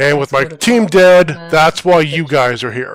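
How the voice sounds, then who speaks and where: In a put-on character voice, a man booms at a fairly high pitch and a moderate pace. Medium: actual play. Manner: gruff, dismissive.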